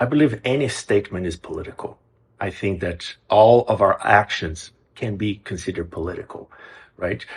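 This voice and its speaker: Somewhat breathy and medium in pitch, a man speaks with a Brazilian Portuguese accent against a quiet background. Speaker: music program executive director, composer. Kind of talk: interview. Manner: some hesitations and repeated words.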